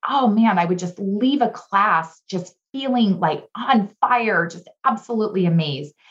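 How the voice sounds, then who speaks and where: Fairly slow, somewhat breathy speech with lively intonation and an American accent. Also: woman. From Southern California. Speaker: leadership speaker and trainer. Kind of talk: interview.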